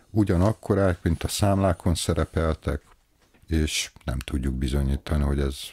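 A man talks at a fairly slow pace with a very deep, low pitch. His tone is dark, mellow and somewhat breathy. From Hungary, Veszprém; Hungary. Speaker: library director. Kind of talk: interview. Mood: calm, friendly. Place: office. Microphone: studio mic.

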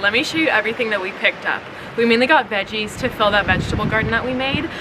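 A woman talks at a very fast pace with ordinary pitch variation over noticeable background noise. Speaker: vlogger. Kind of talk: casual vlog chat. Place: garden.

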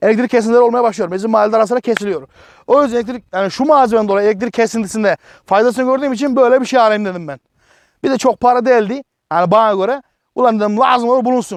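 An extremely high-pitched male voice with an animated tone, a very fast pace and ordinary pitch variation, dry and close with no echo, over a quiet background. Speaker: product reviewer, YouTuber. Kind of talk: casual product review vlog.

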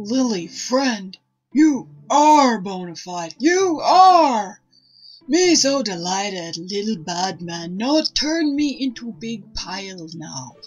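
Over faint background music, a woman does a put-on character voice, fairly high-pitched, with very wide pitch swings and a very slow pace. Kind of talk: caveman broken English, comic. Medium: game stream. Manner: slow, gruff, dim-witted.

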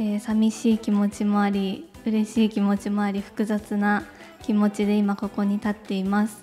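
With faint music in the background, a woman with a fairly high voice speaks at a moderate pace in a nervous tone. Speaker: beauty contest winner, gravure model. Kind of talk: award presenter speech. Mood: nervous, emotional, polite. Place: hall. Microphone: handheld.

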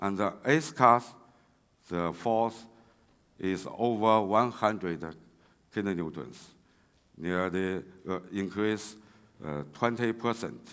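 A man with a Chinese accent speaks very slowly in a fairly low pitch, with ordinary pitch variation and long, frequent pauses. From China. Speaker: railway engineering researcher; conference presenter. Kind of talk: conference talk. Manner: halting, many fillers. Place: hall. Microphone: podium.

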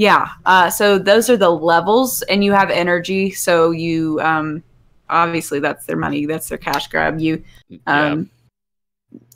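A fairly low-pitched woman at a fairly slow pace, with ordinary pitch variation and big swings in loudness. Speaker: podcast co-host and streamer; podcast co-host, streamer. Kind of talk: casual chat. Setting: live stream. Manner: playful. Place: home room. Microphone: studio mic.

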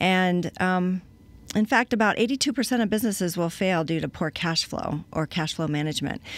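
A woman with an American accent speaks at a moderate pace, and the sound is dry with no echo. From Colorado. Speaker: cash flow consultant; guest. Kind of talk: interview. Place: studio. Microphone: studio mic.

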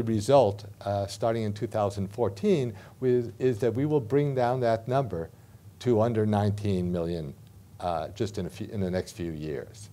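In an American accent, a man speaks at a fairly slow pace. His tone is dark and mellow, with ordinary pitch variation. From United States. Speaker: professor. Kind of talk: lecture. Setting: stage with audience. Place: meeting room. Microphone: podium.

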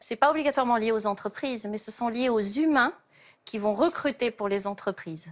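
Against a quiet background, a woman with a fairly high pitch talks fairly quickly in an ordinary speaking voice, her pitch varying in an ordinary way. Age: 50s. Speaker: job search coach; talk show guest, job coach. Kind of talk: TV talk show explanation. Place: studio.

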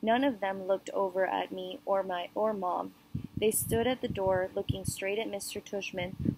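A natural reading voice, its intonation fairly even

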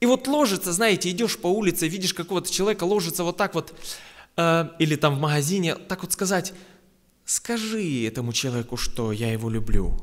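A man's high voice moves through very wide pitch swings. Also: fairly quick pace, quiet background. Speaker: preacher. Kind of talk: sermon. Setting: church. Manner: earnest, exhorting, conversational. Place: church. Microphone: podium.

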